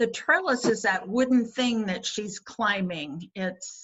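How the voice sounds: Typical rise and fall in pitch from a natural reading voice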